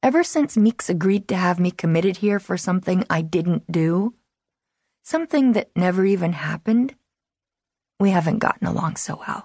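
A woman's dark, mellow, somewhat breathy voice in a dry, close recording with no echo. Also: medium pitch for a woman, ordinary pitch variation, moderate pace. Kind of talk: audiobook narration, first-person reading of a teen novel. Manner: brooding, wary and intimate, like a guarded teen confiding.

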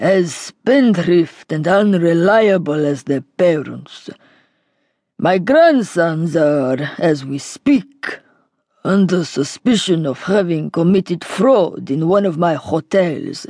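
Using a put-on character voice in a Greek accent, a woman speaks fairly slowly at a fairly low pitch with lively intonation. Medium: read story. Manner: heavy, grave.

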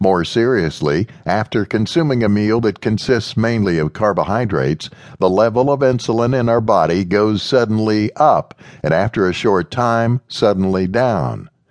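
A man with a fairly low pitch talks at a moderate pace in a plain, everyday voice, with ordinary pitch variation and very even loudness. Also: dry, close sound with no echo. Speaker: audiobook narrator. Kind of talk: audiobook narration. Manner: even, measured, instructional delivery; formal and expository, read steadily.

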